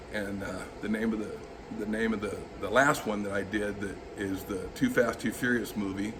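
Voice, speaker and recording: Noticeable background noise and audible room echo surround a monotone, flat delivery. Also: man, fairly low pitch for a man, moderate pace. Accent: American. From Southern California. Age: 50s. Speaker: auto body restorer. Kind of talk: interview monologue. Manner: halting, with frequent fillers.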